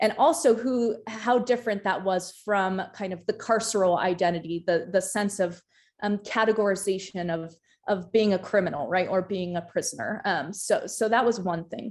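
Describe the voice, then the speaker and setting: The speaker is a woman with ordinary pitch variation. She talks at a moderate pace. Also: medium pitch for a woman, very clean recording, silent background. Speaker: doctoral researcher and former firefighter. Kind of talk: academic panel presentation. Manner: halting, many fillers and repetitions.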